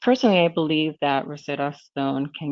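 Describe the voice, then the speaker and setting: A woman with a Spanish accent speaks at a moderate pace with fairly even intonation. Her pitch is very deep and low. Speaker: corporate language program manager. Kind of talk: webinar presentation. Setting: webinar streamed online.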